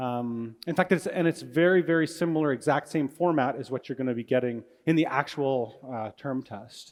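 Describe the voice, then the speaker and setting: A man with a Canadian accent, fairly high in pitch, with ordinary pitch variation and hardly any pauses. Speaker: university physics lecturer. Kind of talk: lecture. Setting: large lecture hall with audience. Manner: fast; animated.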